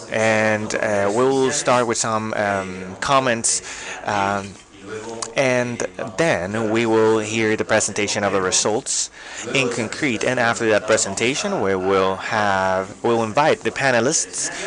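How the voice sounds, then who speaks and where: A man talks at a very slow pace with a fairly low pitch, very even loudness and fairly even intonation, accompanied by noticeable background noise and audible room echo. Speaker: event moderator. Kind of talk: formal event moderation. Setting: stage event with live audience and online stream. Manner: hesitant, many fillers.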